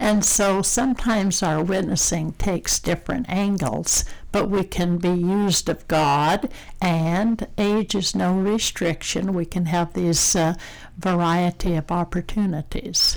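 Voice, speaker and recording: This woman has a normal speaking voice, fairly low in pitch, with ordinary pitch variation and very even loudness. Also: fairly slow pace. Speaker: retired woman sharing faith. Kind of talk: testimony.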